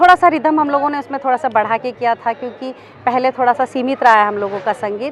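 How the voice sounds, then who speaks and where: Lively intonation against noticeable background noise. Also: woman. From Mumbai. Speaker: folk singer. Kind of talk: interview answer.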